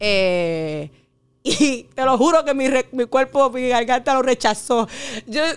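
Speaking in a Puerto Rican accent, a woman talks at a very slow pace with a high pitch and lively intonation, on a very clean recording with a silent background. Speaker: teacher. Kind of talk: casual chat.

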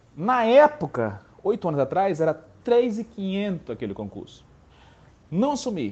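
The voice has an animated tone, with very wide pitch swings. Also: man. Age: 30s. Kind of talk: motivational voice message. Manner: halting.

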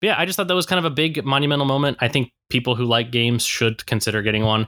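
Recorded very cleanly with a silent background, a man's bright, sharp voice sounds dry and close with no echo and shows ordinary pitch variation. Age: 30s. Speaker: podcast co-host. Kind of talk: casual chat. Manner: halting.

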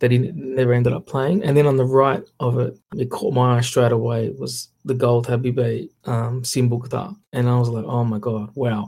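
With an Australian accent, a man talks at a moderate pace with hardly any pauses, in a medium-pitched, somewhat breathy voice of dark, mellow tone and fairly even intonation. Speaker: photographer. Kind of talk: casual chat. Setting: remote call.

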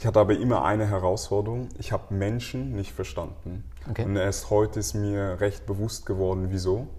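A man talks at a fairly quick pace in a fairly low pitch, his tone dark and mellow and somewhat breathy. His pitch varies in an ordinary way, and audible room echo surrounds the voice. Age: 30s. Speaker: marketing specialist. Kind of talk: casual interview.

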